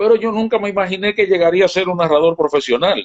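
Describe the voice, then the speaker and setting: His pace runs fairly quick. This man's voice is high-pitched. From Dominican Republic, San Francisco de Macorís countryside. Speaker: baseball broadcaster. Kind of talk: casual interview.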